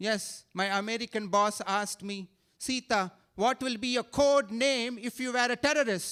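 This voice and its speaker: A man with an Indian accent speaks at a moderate pace in an animated tone and a high voice, on a very clean recording with a silent background and a dry, close sound with no echo. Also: ordinary pitch variation. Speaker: stand-up comedian. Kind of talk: stand-up. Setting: stage with audience.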